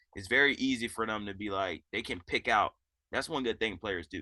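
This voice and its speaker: A loud man with a bright, sharp tone comes through in a dry, close sound with no echo. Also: quiet background. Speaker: assistant basketball coach. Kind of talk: interview. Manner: casual.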